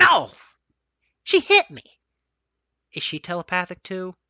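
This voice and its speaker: At a middle pitch and a moderate pace, someone performs a put-on character voice. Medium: read story. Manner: sarcastic, blunt.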